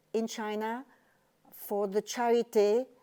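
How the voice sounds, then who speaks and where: In a French accent, a woman speaks at a very slow pace with a fairly high pitch and a dark, mellow tone. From France. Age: 80s+. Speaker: retired teacher and charity volunteer. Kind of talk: interview. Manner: halting.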